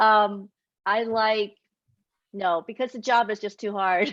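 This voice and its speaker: In a Taiwanese accent, a woman speaks at a very slow pace. Her pitch is fairly high and the background is quiet. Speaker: children's author. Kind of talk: author Q&A.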